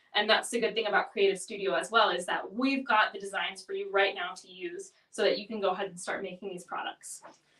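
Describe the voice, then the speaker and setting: Speaking at a very fast pace with hardly any pauses, a woman keeps a medium pitch and fairly even intonation while her loudness swings widely. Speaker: product demonstrator. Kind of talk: tutorial. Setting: live webinar.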